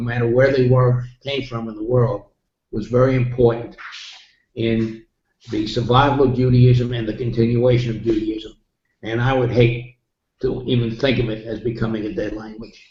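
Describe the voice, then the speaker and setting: In a monotone, flat intonation, a man speaks at a moderate pace, somewhat breathy, with audible room echo. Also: medium pitch for a man. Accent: New York. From New York City. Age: 80s+. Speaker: interviewee. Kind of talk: interview. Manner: halting.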